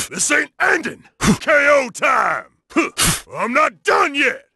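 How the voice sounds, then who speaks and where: A man's put-on character voice at an extremely high pitch and a fairly slow pace. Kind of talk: fighting game combat shouts. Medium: video game character voice. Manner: shouted, aggressive, cocky.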